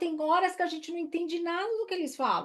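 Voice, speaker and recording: A woman's animated tone. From Brazil. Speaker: career coach. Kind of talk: live online workshop, resume review. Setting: live stream.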